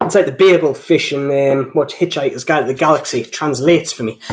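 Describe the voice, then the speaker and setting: This is a man speaking at a moderate pace. His intonation is fairly even. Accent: strong Geordie. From northeast England, between Newcastle and Durham. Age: 20s. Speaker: watch reviewer. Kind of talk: live stream chat. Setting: live stream. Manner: sounds older than his age.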